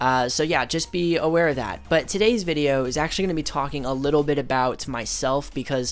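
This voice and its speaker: A man's fairly high voice at a fairly quick pace, with hardly any pauses. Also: ordinary pitch variation. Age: 20s. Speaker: youtuber, artist. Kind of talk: casual commentary over drawing. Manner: casual, hesitant with fillers.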